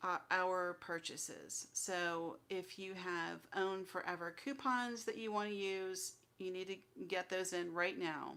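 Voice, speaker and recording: A soft-spoken woman talks at a fairly slow pace with a medium pitch. Her tone is bright and sharp, and her intonation is fairly even. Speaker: crafting channel host. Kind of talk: live stream update. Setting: livestream at home computer.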